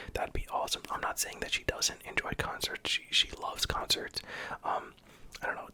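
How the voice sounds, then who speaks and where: Whispering at a fairly quick pace, the speaker is heard over noticeable background noise. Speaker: hospital worker and streamer. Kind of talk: ASMR whisper video, casual talk to viewers. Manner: whispered.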